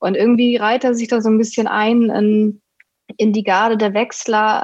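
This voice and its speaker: A woman speaks in a monotone, flat intonation, with a dry, close sound that has no echo. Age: 20s. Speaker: sports journalist. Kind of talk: casual chat.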